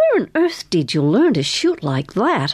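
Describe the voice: A woman puts on a character voice with a slightly husky edge and very wide pitch swings. She speaks at a medium pitch and a fairly slow pace.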